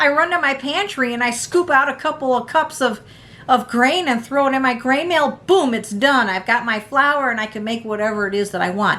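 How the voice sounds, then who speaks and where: Raising and projecting her voice, a woman speaks at a high pitch in a bright, sharp tone with lively intonation. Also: moderate pace. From United States. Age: 60s. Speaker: prepping vlogger. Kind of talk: casual tutorial. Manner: halting, many fillers.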